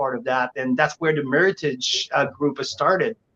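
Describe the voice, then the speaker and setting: A French accent shapes the speech. Its pace is moderate. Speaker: winery representative. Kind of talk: casual chat.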